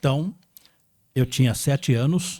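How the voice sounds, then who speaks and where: This man's voice has a dark, mellow tone. It comes across somewhat breathy. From Brazil, São Paulo state interior. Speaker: radio broadcaster. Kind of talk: interview.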